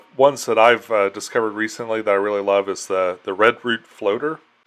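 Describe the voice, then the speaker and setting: Here is a man with an unremarkable speaking voice and an American accent. His pitch is medium, his intonation fairly even, and his pace moderate. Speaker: interview show host. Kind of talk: interview.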